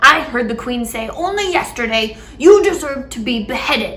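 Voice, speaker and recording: Over clear music in the background, a woman uses a put-on character voice at a high pitch. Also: moderate pace. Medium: read story. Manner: sulky.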